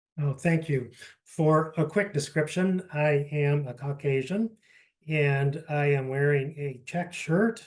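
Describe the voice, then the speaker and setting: Somewhat breathy and fairly high in pitch, a man speaks at a very slow pace with ordinary pitch variation. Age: 60s. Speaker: patient panelist. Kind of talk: testimony.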